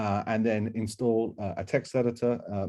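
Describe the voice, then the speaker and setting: The voice belongs to a man and sits fairly low. It has a dark, mellow tone. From UK. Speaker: software engineer, workshop instructor. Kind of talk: technical workshop presentation. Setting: online workshop. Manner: hesitant, many fillers and restarts.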